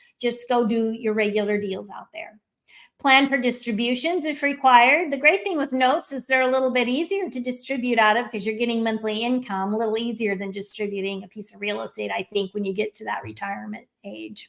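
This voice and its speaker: Talking at a fairly quick pace with hardly any pauses, a woman uses a fairly high pitch, ordinary pitch variation and big swings in loudness. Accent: American. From Florida. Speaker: note investor and presenter. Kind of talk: webinar presentation. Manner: fast.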